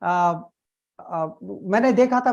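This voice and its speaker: A man with lively intonation over a quiet background. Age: 60s. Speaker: network marketer. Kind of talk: testimony. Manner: halting.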